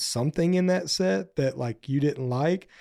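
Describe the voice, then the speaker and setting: A man with an American accent speaks at a fairly slow pace in a dark, mellow tone, with ordinary pitch variation, on a very clean recording with a silent background. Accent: slight country drawl. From US South, northeast Texas. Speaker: singer-songwriter and band frontman. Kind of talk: casual interview chat. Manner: casual, filler-heavy.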